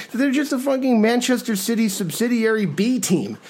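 Over noticeable background noise, a man talks in an animated tone. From New York, partly raised in Spain. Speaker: soccer podcast host and writer. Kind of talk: casual chat.

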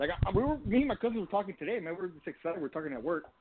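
A high-pitched man rushes along at a very fast pace, his pitch swinging very widely. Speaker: caller. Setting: phone call.

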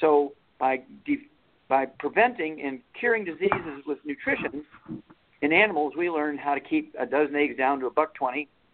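A plain, everyday voice with an American accent speaks at a moderate pace. Its pitch varies in an ordinary way. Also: man, fairly high pitch for a man. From Missouri. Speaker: veterinarian and author. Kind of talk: interview.

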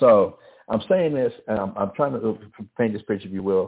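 In a Southern US accent, a man talks at a moderate pace with a fairly low pitch, ordinary pitch variation, vocal fry and a slightly husky edge.

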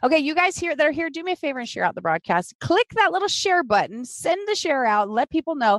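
Very wide pitch swings and an upbeat, energetic tone in a dry, close sound without echo. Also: woman. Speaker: podcast host and business coach. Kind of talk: casual live interview. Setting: live Facebook video broadcast.

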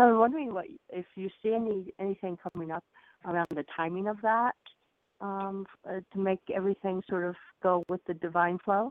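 A woman talks in a plain, everyday voice at medium pitch, using ordinary pitch variation at a moderate pace. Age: 60s. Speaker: caller. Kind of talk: call-in conversation. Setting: phone call.

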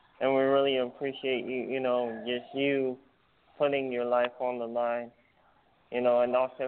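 Here a man speaks at a moderate pace and a medium pitch. He has an unremarkable speaking voice. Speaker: podcast host. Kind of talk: casual chat.

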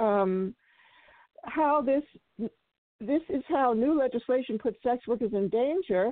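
This woman has an unremarkable speaking voice, fairly high in pitch. She talks at a fairly slow pace with ordinary pitch variation. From Oakland, California. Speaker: sex worker rights activist and film festival organizer. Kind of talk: radio interview.

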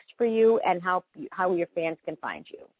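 This is a woman's voice. The pitch moves up and down in a typical way. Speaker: entertainment TV host interviewer. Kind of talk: live phone interview, casual chat. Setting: phone call. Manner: animated, chatty.

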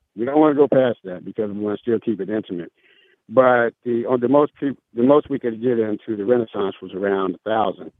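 Using an ordinary speaking voice, a man talks at a moderate pace with a medium pitch and ordinary pitch variation. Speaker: jazz gala organizer, radio show guest.

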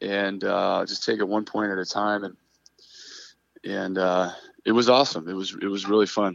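A man talks at a moderate pace with a fairly low pitch. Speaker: professional beach volleyball player. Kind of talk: phone interview. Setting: phone call. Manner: halting, many filler words.

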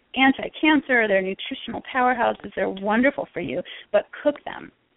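Here is a woman with a plain, everyday voice. She talks at a fairly quick pace and a fairly high pitch with ordinary pitch variation. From Connecticut, US Northeast. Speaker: health coach and herbalist. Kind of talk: interview. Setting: phone call.

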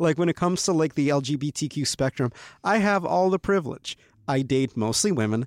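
Delivered with an American accent, a plain, everyday voice moves at a fairly quick pace with ordinary pitch variation. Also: man. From Ukraine, raised in the US from age five. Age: 20s. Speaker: comedy writer. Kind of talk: casual chat. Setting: studio.

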